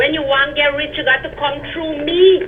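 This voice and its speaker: High-pitched, a woman speaks with a Guyanese accent. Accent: Guyanese Creole English. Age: 60s. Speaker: caller. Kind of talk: call-in political complaint. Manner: animated.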